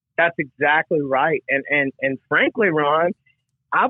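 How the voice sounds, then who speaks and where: A man with a Mississippi accent speaks at a very slow pace. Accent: Southern US (Mississippi). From US South, Mississippi Gulf Coast. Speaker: recovering alcoholic sharing testimony. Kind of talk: testimony. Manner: halting, with many fillers and repetitions.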